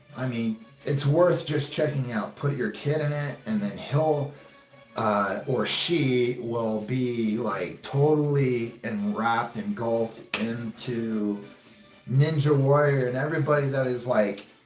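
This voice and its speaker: Music plays in the background while a man speaks at a very slow pace. His pitch is medium, and the room echo is audible. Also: ordinary pitch variation. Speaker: YouTuber and ninja warrior competitor. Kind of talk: casual vlog talk to viewers. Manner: loud.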